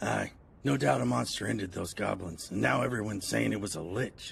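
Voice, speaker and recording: Speaking at a fairly quick pace, a man uses a put-on character voice that is raspy and very deep, with very wide pitch swings. Background noise is clearly audible. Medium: cartoon.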